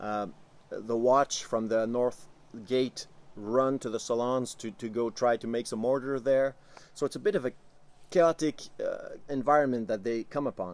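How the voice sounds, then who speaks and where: With a Quebec French accent, a man talks at a moderate pace and medium pitch, with ordinary pitch variation. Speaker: tabletop game master. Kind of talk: tabletop campaign recap talk to camera. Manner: casual, hesitant with filler words.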